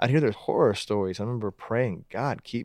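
A man with an American accent talks very fast at a fairly low pitch. His pitch varies in an ordinary way, and the background is quiet. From Pittsburgh, Pennsylvania. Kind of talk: interview conversation. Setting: studio.

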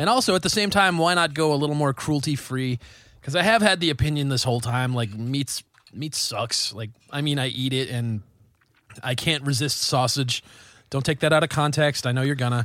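This man talks at a fairly quick pace. His pitch is fairly high, with ordinary variation. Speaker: metal band member and podcast host. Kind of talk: casual banter. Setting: studio.

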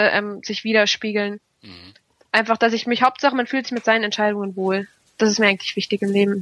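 With a fairly high pitch and monotone, flat intonation, a woman speaks at a fairly quick pace. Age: 20s. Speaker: mechanical engineer and finance blogger. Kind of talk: interview.

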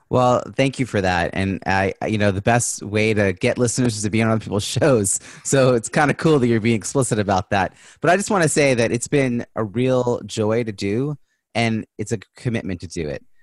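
A man in a plain, everyday voice speaks at a moderate pace and medium pitch with ordinary pitch variation, in a dry, close sound with no echo against a quiet background. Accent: American. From New York. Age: 40s. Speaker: business strategist and keynote speaker. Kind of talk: podcast interview.

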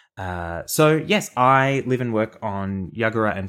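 Over a very clean recording with a silent background, a man with an Australian accent speaks with lively intonation. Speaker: podcast co-host. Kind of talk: casual chat.

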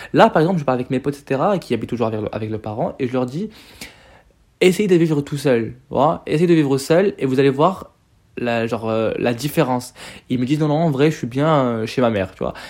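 A man's fairly high-pitched voice moves along at a fairly quick pace. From Morocco. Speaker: podcaster. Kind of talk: casual monologue. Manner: hesitant, filler-heavy.

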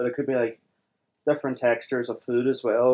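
The voice has a dark, mellow tone and a Derry accent. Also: man. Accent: Northern Irish (Derry). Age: 20s. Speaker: software developer with Asperger's. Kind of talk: interview. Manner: halting.

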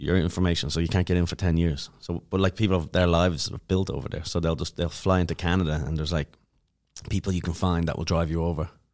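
In a very clean recording with a silent background, a man with an Irish accent speaks very fast in a flat, monotone way at a very deep, low pitch. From Ireland, Dublin. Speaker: comedian. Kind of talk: casual chat. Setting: studio.

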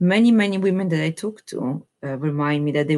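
A woman speaks with an Italian accent. The recording is very clean, with a silent background. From Italy. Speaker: epidemiologist. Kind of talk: interview.

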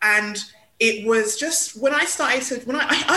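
A woman's voice with a London accent and very wide pitch swings, against noticeable background noise. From London (Hackney). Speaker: PR consultant and cultural commentator. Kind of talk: interview.

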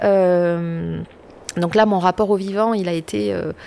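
A woman's medium-pitched voice, with ordinary pitch variation, comes through noticeable background noise. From rural France. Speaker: political scientist. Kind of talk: interview. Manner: hesitant, repeats words.

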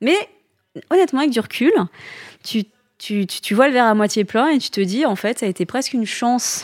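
A woman talks at a fairly quick pace in a high pitch, with lively intonation. She leaves long, frequent pauses. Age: 30s. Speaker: entrepreneur, founder of a hair-loss accessory brand. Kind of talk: interview.

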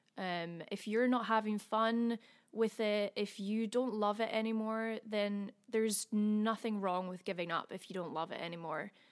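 With a Scottish accent, a woman speaks at a fairly high pitch and a moderate pace, her intonation fairly even and hardly any pauses, in a very clean recording with a silent background. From Scotland. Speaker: singer-songwriter. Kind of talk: casual interview chat.

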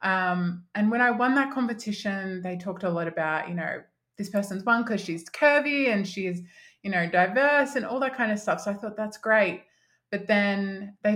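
A woman of medium pitch speaks in an Australian accent on a very clean recording with a silent background. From Australia, country Victoria (Mildura). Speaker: confidence coach. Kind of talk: podcast interview.

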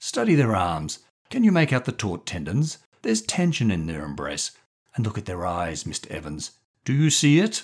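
On a very clean recording with a silent background, a croaky put-on character voice moves at a moderate pace with very wide pitch swings. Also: man, medium pitch for a man. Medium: read story. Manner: genial, pompous, enthusiastic.

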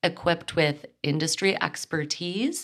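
A woman speaks at a fairly slow pace in a fairly low pitch. She has a normal speaking voice. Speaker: podcast host. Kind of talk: solo podcast monologue.

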